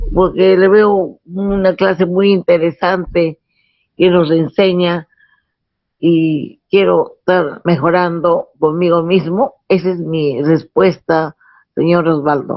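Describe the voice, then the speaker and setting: A woman talks at a very slow pace with a fairly low pitch. Her loudness stays very even and her intonation fairly even. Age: 70s. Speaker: student. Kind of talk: testimony.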